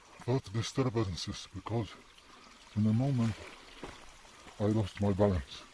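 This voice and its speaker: At a fairly slow pace and with long, frequent pauses, a man with a non-native accent talks in a fairly low voice with ordinary pitch variation. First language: Polish. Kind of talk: casual nature vlog narration.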